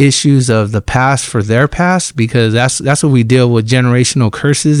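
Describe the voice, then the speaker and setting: Recorded very cleanly against a silent background, an unremarkable speaking voice keeps a moderate pace and fairly even intonation. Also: man. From Fresno, California, US. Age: 40s. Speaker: ministry director. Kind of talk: testimony. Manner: casual, conversational.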